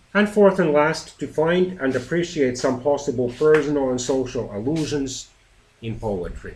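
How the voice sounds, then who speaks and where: A man with a fairly high pitch for a man talks at a moderate pace, his voice somewhat breathy and his intonation lively. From Finland. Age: 40s. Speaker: teacher. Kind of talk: lesson presentation.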